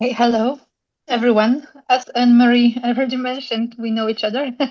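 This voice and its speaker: A woman speaks with a Polish accent at a fairly quick pace. Her high pitch stays in monotone, flat intonation. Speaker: school head. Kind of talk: casual chat.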